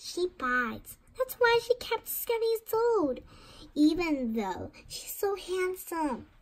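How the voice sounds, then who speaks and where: Delivered at a fairly slow pace, this put-on character voice makes very wide pitch swings. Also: woman, extremely high pitch for a woman. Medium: read story. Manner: friendly, chatty.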